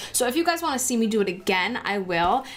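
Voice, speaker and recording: An animated, fairly high-pitched woman's voice with noticeable background noise. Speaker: beauty vlogger. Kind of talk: makeup tutorial. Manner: fast.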